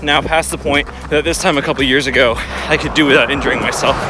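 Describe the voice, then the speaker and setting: A man talks at a very fast pace in a fairly high pitch. Noticeable background noise sits behind him. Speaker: running vlogger. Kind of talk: casual vlog monologue while running. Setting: outdoors, running on road with handheld camera.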